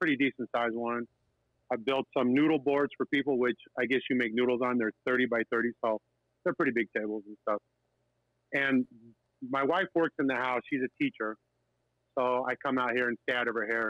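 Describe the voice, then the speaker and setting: A man's medium-pitched voice moves at a fairly quick pace. His intonation stays fairly even, broken by long, frequent pauses. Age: 50s. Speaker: live sound audio technician. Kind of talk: casual chat.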